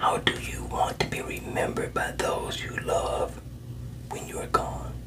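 Loud background noise fills the clip. Through it, a man speaks softly. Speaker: coach or counselor. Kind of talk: self-help coaching talk. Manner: soft, slow ASMR speaking voice. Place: home room. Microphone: phone near.

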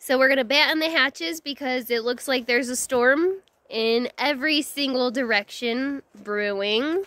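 Speech comes at a moderate pace in a dry sound with no echo. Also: woman. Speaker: off-road trip vlogger. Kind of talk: casual vlog chat. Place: forest. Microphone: phone near.

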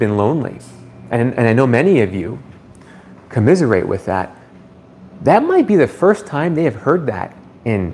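Very wide pitch swings from a man, with light background noise behind him. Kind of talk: live stream chat answering viewers. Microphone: phone near.

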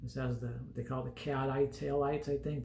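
A man speaks in a room with audible echo and light background noise. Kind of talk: casual vlog chat. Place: home room. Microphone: phone near.

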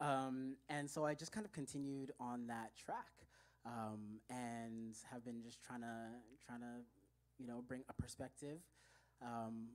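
Speaking at a fairly slow pace, a woman uses a very deep, low pitch with fairly even intonation. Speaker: guest, actor. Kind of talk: interview answer. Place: stage. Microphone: handheld.

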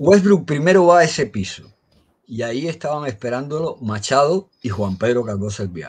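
Very wide pitch swings from a man at a moderate pace. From Havana, Cuba; Cuba. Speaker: blogger and amateur historian; guest. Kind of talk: storytelling history talk. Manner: halting. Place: home room. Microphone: video call.

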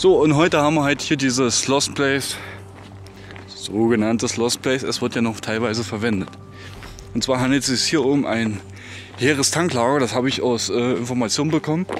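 With music in the background, a man speaks at a fairly quick pace with ordinary pitch variation in a dry sound with no echo. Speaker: lost-place vlogger. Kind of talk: casual vlog chat. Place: open country. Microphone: phone near.

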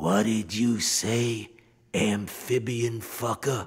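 A man's hissing put-on character voice at medium pitch and a very slow pace. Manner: hissing, menacing.

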